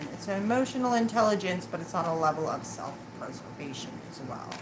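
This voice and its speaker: Mumbling at medium pitch with very wide pitch swings, a woman speaks amid audible room echo and noticeable background noise. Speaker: tarot reader. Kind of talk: live tarot reading.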